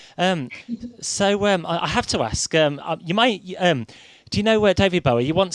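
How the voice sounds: The pitch moves in an ordinary way. A man delivers the words at a moderate speed.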